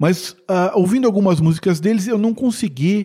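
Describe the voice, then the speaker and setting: A dark, mellow tone in a man's high-pitched speech. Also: very clean recording, silent background. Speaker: radio host. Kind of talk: radio show presentation. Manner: casual.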